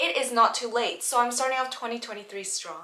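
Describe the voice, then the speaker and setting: A high-pitched woman's voice at a fairly quick pace over noticeable background noise. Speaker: travel vlogger. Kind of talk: casual vlog chat. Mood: excited, nervous about first video. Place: home room.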